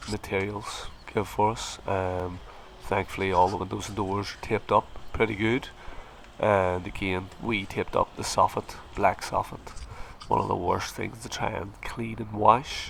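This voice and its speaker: A man with an American accent speaks at a fairly slow pace in a fairly low, flat, monotone voice. Noticeable background noise runs behind him. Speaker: plasterer and video tutor. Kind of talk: tutorial.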